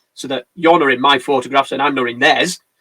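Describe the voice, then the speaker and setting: With an English accent, a man talks at a very fast pace in a fairly high pitch, his tone bright and sharp and the sound dry and close with no echo. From England. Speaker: wedding photographer. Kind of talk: casual chat. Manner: animated.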